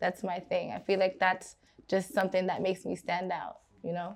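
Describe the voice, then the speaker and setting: The speaker has a Brooklyn accent, heard against a quiet background. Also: woman. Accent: New York (Brooklyn). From Brooklyn, New York, Guyanese family. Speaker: R&B singer. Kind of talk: interview. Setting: studio.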